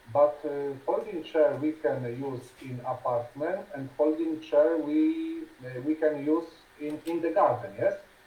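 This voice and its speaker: A man with a Polish accent speaks at a fairly high pitch and fairly slow pace, his intonation fairly even. Big swings in loudness stand out over noticeable background noise. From Poland. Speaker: conversation partner. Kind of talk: casual conversation practice. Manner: halting.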